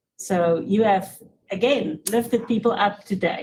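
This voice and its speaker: A woman speaks at a medium pitch with ordinary pitch variation. Her voice is somewhat breathy. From Africa. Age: 60s. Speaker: panel moderator. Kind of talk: panel discussion.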